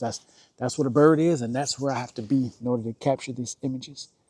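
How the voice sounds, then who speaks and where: A quiet man talks at a fairly quick pace in a medium pitch. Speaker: nature photographer and vlogger. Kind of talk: casual vlog narration outdoors. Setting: outdoors in the woods. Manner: hesitant, with repetitions and fillers; quiet, hushed to avoid spooking bird.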